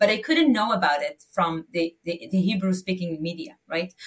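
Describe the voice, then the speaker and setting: A woman speaks with an Israeli accent at a fairly quick pace. Her pitch swings very widely. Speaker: nonprofit leader. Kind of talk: interview answers. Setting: remote call.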